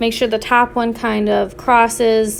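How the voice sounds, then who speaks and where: A woman talks with an ordinary speaking voice at a fairly high pitch. Her pace is fairly slow. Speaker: art teacher. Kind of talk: tutorial.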